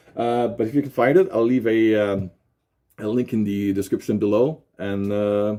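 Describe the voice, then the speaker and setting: A man with a Quebec accent, fairly low in pitch, with a dark, mellow tone, a moderate pace and fairly even intonation. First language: French. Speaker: YouTube unboxing presenter. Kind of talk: product unboxing presentation. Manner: halting, many fillers.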